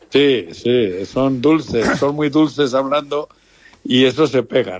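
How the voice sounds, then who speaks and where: Speaking at a very slow pace, a man talks at a medium pitch. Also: ordinary pitch variation. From Basque Country, Lemoa (Biscay). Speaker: radio station owner, football club owner. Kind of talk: phone interview.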